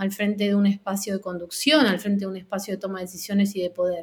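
This woman talks at a fairly quick pace. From Argentina. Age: 40s. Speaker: music industry coordinator. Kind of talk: interview. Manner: halting.

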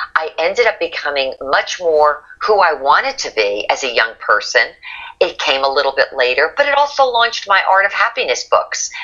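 A woman with an American accent at a moderate pace, over noticeable background noise. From northern New Jersey. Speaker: author and motivational speaker. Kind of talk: interview.

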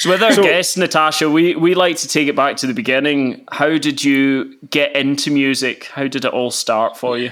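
A man's fairly high voice at a moderate pace, with ordinary pitch variation and hardly any pauses, over noticeable background noise. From west of Scotland. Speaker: podcast host and music producer. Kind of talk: casual chat.

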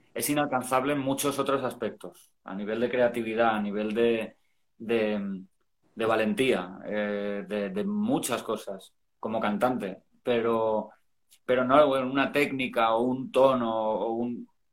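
Here a man speaks at a very slow pace. His intonation stays fairly even. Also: medium pitch for a man. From Spain, Valencia. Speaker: rock singer. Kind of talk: casual chat.

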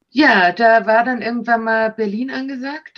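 A woman with a fairly high voice talks at a moderate speed. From Austria. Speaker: actress and talent agent. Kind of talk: casual interview. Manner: animated.

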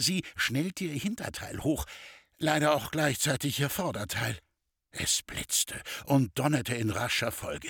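With vocal fry and lively intonation, the speaker talks at a fairly slow pace in a dry, close sound with no echo. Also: man, fairly high pitch for a man. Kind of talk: literary audiobook reading of a satirical short story, narrated with dry irony. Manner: slightly animated, shifting tone for the characters' dialogue.

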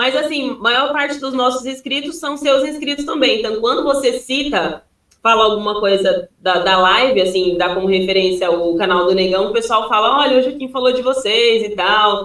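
A woman with a plain, everyday voice talks at a moderate pace, fairly high in pitch with lively intonation and hardly any pauses. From Piauí, Brazil. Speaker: youtuber, guest's wife. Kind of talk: casual chat.

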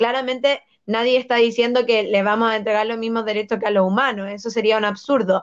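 Her intonation fairly even, a woman speaks at a fairly high pitch in an unremarkable speaking voice. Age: 20s. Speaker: political candidate and law student. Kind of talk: interview.

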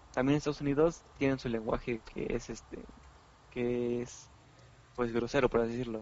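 At a moderate pace and medium pitch, a man speaks in a flat monotone with long, frequent pauses. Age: 20s. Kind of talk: casual chat.

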